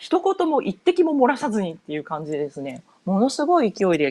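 A woman's voice moves through very wide pitch swings. The sound is dry and close, with no echo. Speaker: podcaster, board game enthusiast. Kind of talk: solo podcast monologue. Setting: home. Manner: casual, many fillers.

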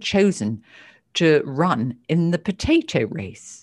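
A woman with a British accent and very wide pitch swings, on a very clean recording with a silent background. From United Kingdom. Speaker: psychotherapist and author. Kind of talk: interview.

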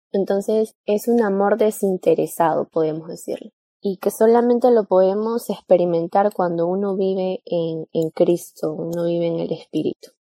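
A woman talks in a plain, everyday voice at a medium pitch and a moderate pace. Her intonation is fairly even, with hardly any pauses. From Peru. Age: young. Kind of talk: religious podcast chat.

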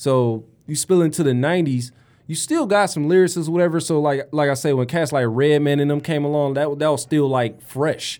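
On a very clean recording with a silent background, a man with a Detroit accent talks at a fairly quick pace in a fairly high pitch, with fairly even intonation and very even loudness. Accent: Detroit urban American English. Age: 30s. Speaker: podcast host and rapper. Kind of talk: casual chat. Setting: studio.

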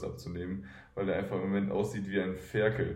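Vocal fry runs through a dark, mellow tone delivered at a fairly quick pace, with audible room echo. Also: man. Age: 20s. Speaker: professional basketball player. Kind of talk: interview.

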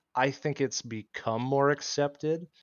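A man speaks with ordinary pitch variation. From Iowa, US Midwest. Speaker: podcast guest. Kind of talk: casual chat. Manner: halting.

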